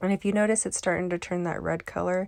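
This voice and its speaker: Soft-spoken, a woman talks over a silent background in a very clean recording. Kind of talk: tutorial. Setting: voiceover. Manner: halting.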